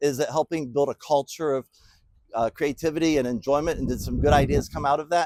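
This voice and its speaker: With a plain, everyday voice, a man speaks fairly quickly at a fairly high pitch with ordinary pitch variation, in a dry, close sound with no echo. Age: 60s. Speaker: business speaker. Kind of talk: motivational talk. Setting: bowling alley. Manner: casual, folksy.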